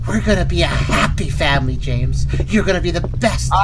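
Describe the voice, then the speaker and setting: A man talks at a fairly quick pace in a put-on character voice over loud background noise. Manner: ominous, menacing.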